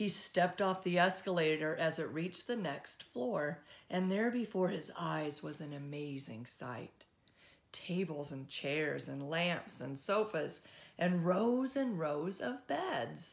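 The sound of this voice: A woman talks at a slow pace and a low pitch. Her intonation is lively, and vocal fry runs through it.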